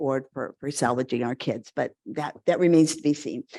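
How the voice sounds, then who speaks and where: With an American accent, a woman talks at a fairly quick pace in a dark, mellow tone, the sound dry and close with no echo over a quiet background. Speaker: pediatric transplant physician. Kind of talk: conference lecture. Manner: fast.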